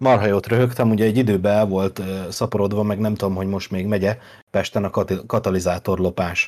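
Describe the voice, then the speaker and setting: A man with a fairly low pitch and an unremarkable speaking voice talks at a moderate pace with fairly even intonation, captured in a very clean recording against a silent background. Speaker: podcast co-host. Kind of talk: casual chat.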